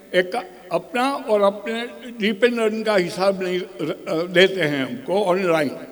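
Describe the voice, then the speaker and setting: Over noticeable background noise, a man with a high-pitched voice talks at a very slow pace, with ordinary pitch variation. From Gujarat, India. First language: Gujarati (speaking Hindi). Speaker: senior lawyer. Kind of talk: conference speech. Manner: halting.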